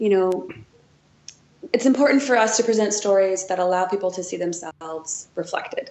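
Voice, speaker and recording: Using an unremarkable speaking voice, a woman with an American accent talks at a moderate pace and medium pitch with ordinary pitch variation. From Wisconsin, US Midwest. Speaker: museum curator. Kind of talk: interview.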